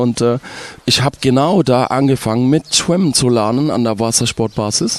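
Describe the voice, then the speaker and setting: Against noticeable background noise, a man talks at a moderate pace with medium pitch and ordinary pitch variation. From Egypt, Ismailia. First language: Arabic (speaking German). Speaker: resort entertainer. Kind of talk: casual interview.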